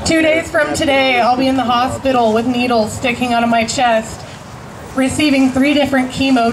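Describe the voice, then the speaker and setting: A woman with a high pitch speaks through noticeable background noise and audible room echo. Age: 30s. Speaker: cancer patient activist. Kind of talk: rally speech.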